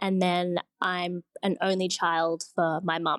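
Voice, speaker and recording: A woman with an Australian accent speaks in a fairly low, monotone, flat voice, recorded very clean, dry and close with no echo over a silent background. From Sydney, Australia. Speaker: designer. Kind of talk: casual interview chat.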